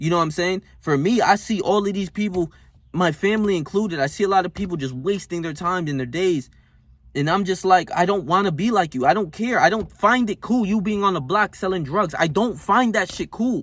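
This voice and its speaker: With an American accent, a man with a high pitch speaks in an animated tone at a fairly quick pace, with ordinary pitch variation. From North Jersey, US. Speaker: self-help vlogger. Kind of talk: motivational rant. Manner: animated, emphatic.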